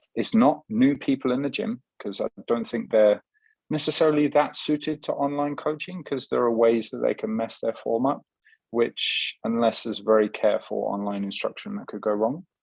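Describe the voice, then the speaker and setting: A man with an English accent at medium pitch, lively intonation and a moderate pace, dry and close with no echo against a quiet background. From England. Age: 30s. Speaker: fitness coach. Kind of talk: podcast interview. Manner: halting.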